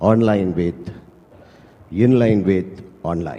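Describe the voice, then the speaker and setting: Noticeable background noise sits behind a man speaking in a Tamil accent. His fairly low voice moves at a very slow pace. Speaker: travel agency director. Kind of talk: prepared speech read aloud. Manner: reading from a script.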